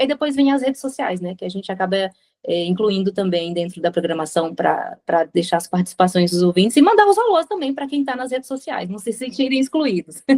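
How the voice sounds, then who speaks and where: Her pitch swinging very widely, a woman speaks very fast in a dry, close sound with no echo. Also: medium pitch for a woman. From Brazil. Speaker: radio presenter. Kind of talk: interview answer.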